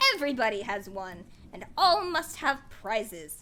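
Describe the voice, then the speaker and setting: A woman talks at a moderate pace in a put-on character voice, pitched fairly high. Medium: virtual streamer. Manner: grave, solemn.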